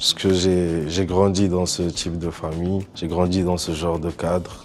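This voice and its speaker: A man's very deep, low voice, monotone and flat, at a fairly slow pace. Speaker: rapper. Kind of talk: interview answers.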